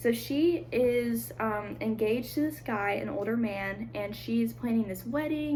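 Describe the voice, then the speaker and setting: An animated woman's voice with audible room echo and noticeable background noise. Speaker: book vlogger. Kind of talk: casual chat.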